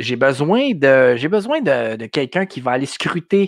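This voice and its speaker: A man's fairly high voice in a Quebec accent, at a moderate pace, with a dry, close sound, no echo and a quiet background. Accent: Québécois French. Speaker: podcast host. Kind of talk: live stream talk. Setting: live video stream from home. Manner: halting, many fillers.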